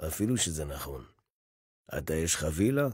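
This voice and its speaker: A man talks at a moderate pace with a dark, mellow tone. The recording is very clean, with a silent background. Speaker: voice actor / announcer. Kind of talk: satirical election campaign monologue. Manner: sarcastic, rhetorical, dramatic.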